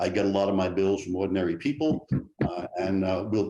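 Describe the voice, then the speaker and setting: In a New York accent, a man speaks with a dark, mellow tone. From New York City. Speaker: state legislator, political candidate. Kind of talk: debate opening statement. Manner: halting, many fillers.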